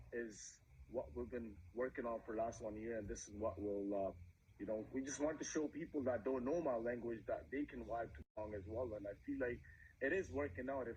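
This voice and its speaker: A man talks at a fairly quick pace and a medium pitch. His voice shows vocal fry and ordinary pitch variation. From Punjab. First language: Punjabi. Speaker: musician. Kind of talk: interview.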